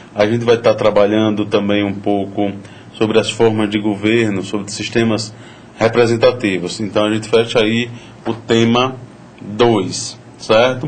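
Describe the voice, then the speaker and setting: A man speaks fairly slowly in a flat monotone. Audible room echo and noticeable background noise accompany him. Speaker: university lecturer. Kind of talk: lecture.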